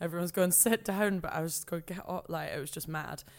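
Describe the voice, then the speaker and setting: In a very clean recording with a silent background, a woman with a Scottish accent speaks in a fairly low pitch. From Scotland, rural Perthshire. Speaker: TV presenter. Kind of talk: casual chat. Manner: animated.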